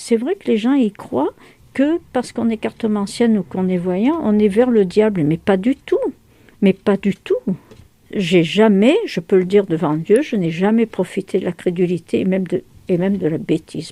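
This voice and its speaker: A woman speaks at a moderate pace in a medium pitch, her tone dark and mellow, the sound dry and close with no echo. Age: 70s. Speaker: fortune teller. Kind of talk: interview answer.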